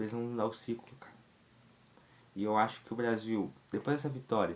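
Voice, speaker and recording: A man is speaking. His intonation is fairly even. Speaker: football commentator youtuber. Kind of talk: casual commentary vlog.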